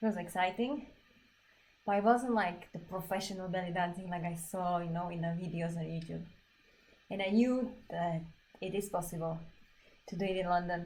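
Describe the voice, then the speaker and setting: A woman with a Slovak accent, fairly low pitch and fairly even intonation, at a moderate pace with long, frequent pauses, in audible room echo. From Slovakia. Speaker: belly dance teacher and performer. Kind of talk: casual chat during a livestreamed dance class. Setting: livestream.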